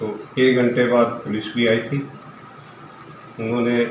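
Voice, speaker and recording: With audible room echo and noticeable background noise around him, a man talks in a medium pitch. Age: 70s. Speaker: assault victim, elderly landowner. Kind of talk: news interview.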